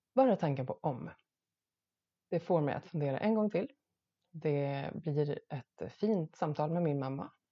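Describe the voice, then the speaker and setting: With a very deep, low pitch, a woman speaks at a fairly slow pace, using lively intonation and long, frequent pauses. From Sweden, Gotland. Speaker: podcast host. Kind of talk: solo monologue podcast.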